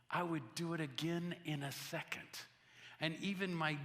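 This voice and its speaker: A man's fairly high-pitched voice with a bright, sharp tone, ordinary pitch variation and a fairly slow pace, plus audible room echo. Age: 60s. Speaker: missionary. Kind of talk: sermon. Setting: church.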